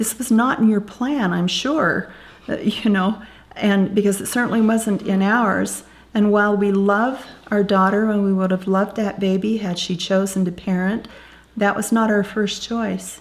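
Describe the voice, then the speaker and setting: Her medium-pitched, ordinary speaking voice moves at a moderate pace with fairly even intonation, the speaker being a woman. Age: 60s. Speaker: birth grandparent. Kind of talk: interview testimony.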